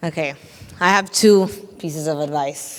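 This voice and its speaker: Speaking at a moderate pace with a non-native accent, a woman uses a fairly low pitch and ordinary pitch variation. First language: not English. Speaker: tech entrepreneur, panelist. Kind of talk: panel discussion.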